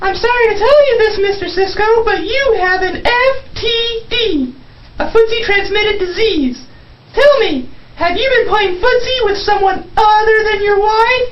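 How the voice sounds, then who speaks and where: A squeaky, cartoonish character voice, female-sounding and extremely high in pitch, over clear background noise. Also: moderate pace. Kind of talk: comic overacting. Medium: puppet show.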